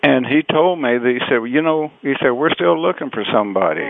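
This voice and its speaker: Fairly quick speech from a man with an American accent, ordinary pitch variation, noticeable background noise behind him. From southeast Texas (Beaumont). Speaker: western music singer and musician. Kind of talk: interview. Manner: halting, many fillers.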